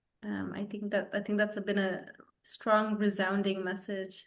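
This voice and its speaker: A woman's medium-pitched voice moves at a moderate pace with monotone, flat intonation and audible room echo. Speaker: webinar moderator. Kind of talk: online town hall moderation.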